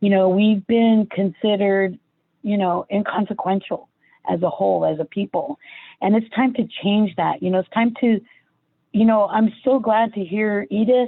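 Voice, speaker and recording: Pitch varies in an ordinary way as the speaker holds a moderate pace. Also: woman, medium pitch for a woman. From California, San Jose. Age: 60s. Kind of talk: panel discussion. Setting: online livestream panel. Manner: halting, many fillers.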